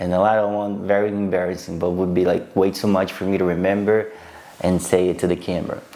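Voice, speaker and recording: The speech comes at a very fast pace in a monotone, flat intonation. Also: man, very deep, low pitch for a man. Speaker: vlogger. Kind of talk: casual storytelling to camera. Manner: halting, with repetitions and fillers.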